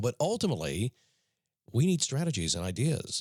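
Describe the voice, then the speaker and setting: On a very clean recording with a silent background, a man's medium-pitched, somewhat breathy voice sounds dry and close with no echo. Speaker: motivational podcast host. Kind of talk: motivational talk. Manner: casual, conversational.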